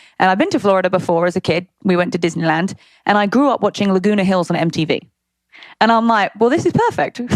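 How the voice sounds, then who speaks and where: Over a very clean recording with a silent background, a woman with a British accent speaks very fast at medium pitch, with an animated tone, ordinary pitch variation and very even loudness. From England. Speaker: fitness entrepreneur. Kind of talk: interview. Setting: podcast.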